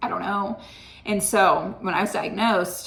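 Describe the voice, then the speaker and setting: A woman speaks at medium pitch with fairly even intonation. Audible room echo surrounds her voice. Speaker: health vlogger. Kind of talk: casual vlog monologue. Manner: chatty and conversational.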